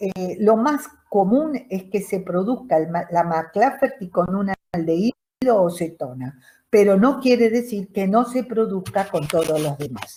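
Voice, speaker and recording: Speaking at a fairly slow pace, a woman with a medium pitch uses lively intonation. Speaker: chemistry teacher. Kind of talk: lecture.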